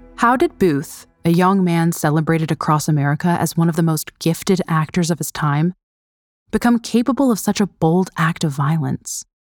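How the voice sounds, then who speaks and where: Music plays behind a woman speaking in a solemn tone at a moderate pace, her fairly low voice showing ordinary pitch variation in a dry, close sound with no echo. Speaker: narrator. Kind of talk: dramatic narration of history, scripted true-crime storytelling. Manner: solemn, measured, somber; vivid, suspenseful, storytelling cadence.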